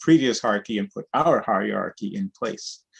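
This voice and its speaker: With a dry, close sound and no echo, a man speaks at a moderate pace in a normal speaking voice with ordinary pitch variation. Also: quiet background. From New York City, born in Cuba. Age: 60s. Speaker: sociocracy trainer and cooperative organizer. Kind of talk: interview. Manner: conversational with frequent fillers.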